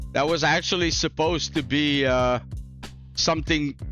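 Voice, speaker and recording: A man talks at a fairly slow pace. Music plays in the background. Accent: non-native. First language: not English. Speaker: gaming YouTuber. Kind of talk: casual talk to camera. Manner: casual, chill.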